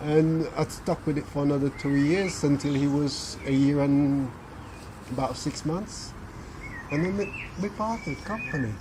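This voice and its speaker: Over noticeable background noise, a man with a fairly high voice speaks at a moderate pace with ordinary pitch variation and long, frequent pauses. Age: 60s. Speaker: hypnotherapist. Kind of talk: interview answer.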